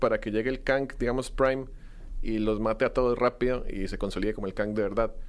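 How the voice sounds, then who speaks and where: A man talks at a very fast clip on a very clean recording with a silent background. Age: 20s. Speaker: film content creator. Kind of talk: casual chat.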